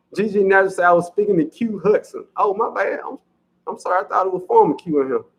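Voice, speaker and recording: A man with a strong Southern US accent at a very fast pace. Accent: heavy Southern US. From US South. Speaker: farming channel host. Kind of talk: livestream chat reading comments. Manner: casual, chatty.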